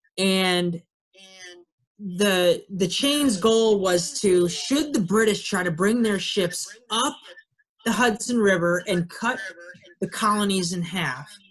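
Over music in the background, a man speaks in a high pitch at a very slow pace, with ordinary pitch variation and long, frequent pauses. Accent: American. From Ohio. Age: 20s. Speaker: army officer giving a fort tour talk. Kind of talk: webinar presentation. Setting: video call. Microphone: video call.

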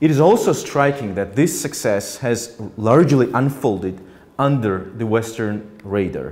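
At a fairly slow pace, the speaker uses lively intonation with a Georgian accent. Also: man, medium pitch for a man. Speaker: politician and author. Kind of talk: audience Q&A; lecture. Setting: stage with audience. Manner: halting. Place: hall.

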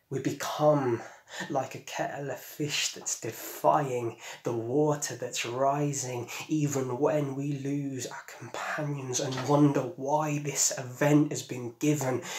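A man at a fairly high pitch, very slow and monotone with flat intonation, over noticeable background noise. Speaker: poet. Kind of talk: poem performed, spoken-word delivery. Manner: measured, lyrical, earnest. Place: home room.

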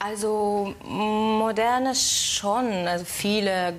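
Speaking very slowly with a Hungarian accent, a woman keeps her intonation fairly even. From Hungary. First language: Hungarian (speaking German). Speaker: actress. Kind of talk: talk show interview; interview answer. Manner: halting, many fillers. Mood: smiling, slightly shy. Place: studio.

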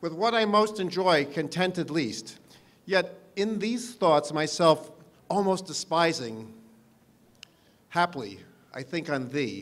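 Lively intonation at a very slow pace, broken by long, frequent pauses. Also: man. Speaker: parks commissioner. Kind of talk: poetry reading. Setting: outdoors. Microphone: podium.

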